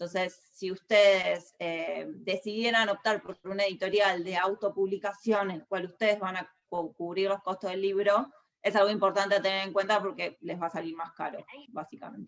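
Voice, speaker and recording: Her voice sits at a medium pitch, and her intonation stays fairly even. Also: moderate pace. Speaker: book editor. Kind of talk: talk. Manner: hesitant with fillers.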